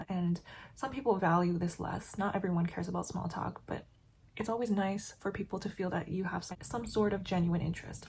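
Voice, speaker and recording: This woman talks at a very fast pace in a medium pitch, with ordinary pitch variation. Her voice is somewhat breathy, with a dark, mellow tone. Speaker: beauty and lifestyle vlogger. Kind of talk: casual chat while doing makeup and reading an article.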